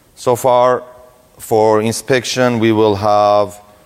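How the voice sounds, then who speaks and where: A medium-pitched man talks at a very slow pace, with noticeable background noise behind him. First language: Russian. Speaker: security researcher, conference speaker. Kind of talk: conference talk.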